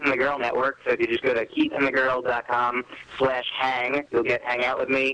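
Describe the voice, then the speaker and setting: Over noticeable background noise, a man with an American accent speaks at a moderate pace in a medium pitch, his intonation monotone and flat. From US Northeast, New Jersey. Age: 30s. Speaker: comedian. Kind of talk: casual chat.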